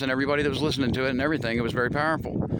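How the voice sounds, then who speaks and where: A man at medium pitch with an American accent, over noticeable background noise. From US Midwest, Missouri. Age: 50s. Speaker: vlogger. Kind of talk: monologue to camera. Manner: animated.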